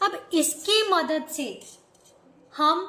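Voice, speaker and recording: A woman's high voice in a Punjabi accent, with music in the background and audible room echo. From Punjab, India. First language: Punjabi (speaking Hindi). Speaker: maths teacher. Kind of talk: lecture. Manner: repetitive questioning, teacherly.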